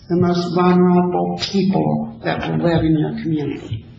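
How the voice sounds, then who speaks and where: Spoken at a very slow pace with an American accent, the voice comes through over noticeable background noise. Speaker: program director seeking donations. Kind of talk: public meeting presentation. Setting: city council meeting. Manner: loud.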